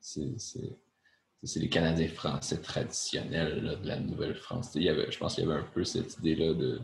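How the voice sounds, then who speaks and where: A man's very deep, low voice with vocal fry and a Quebec accent, in a room with audible echo. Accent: Québécois French. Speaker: podcast co-host. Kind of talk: casual chat.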